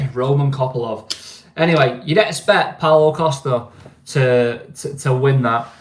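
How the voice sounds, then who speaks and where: This man's voice is fairly high and somewhat breathy. He speaks at a fairly slow pace with ordinary pitch variation. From northern England, Greater Manchester. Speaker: livestream host. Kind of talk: casual livestream chat. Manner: casual, hesitant with many fillers.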